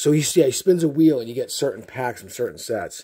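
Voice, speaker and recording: A man's somewhat breathy voice, dark and mellow in tone, at a very fast pace. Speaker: card game YouTuber; card game content creator. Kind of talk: casual chat. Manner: halting. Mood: excited, joking.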